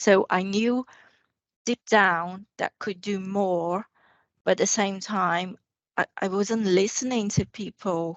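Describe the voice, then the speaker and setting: A woman speaks at a very slow pace and medium pitch, with long, frequent pauses. Her intonation stays fairly even. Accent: non-native. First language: not English. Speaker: guest. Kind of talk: casual chat.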